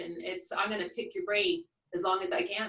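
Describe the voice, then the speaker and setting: A woman's energetic tone with very wide pitch swings. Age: 60s. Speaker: health program client sharing success story. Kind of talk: testimonial interview.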